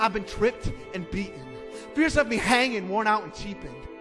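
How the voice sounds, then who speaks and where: A man speaks in a raised, projected voice at a high pitch, with lively intonation and a fairly quick pace. Music plays in the background. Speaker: spoken word poet. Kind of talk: spoken word poetry performance.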